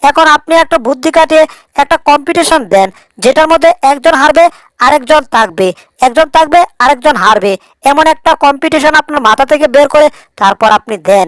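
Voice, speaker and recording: A woman does a cartoonish character voice at a high pitch and moderate pace, recorded dry and close with no echo. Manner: rambling, puzzled.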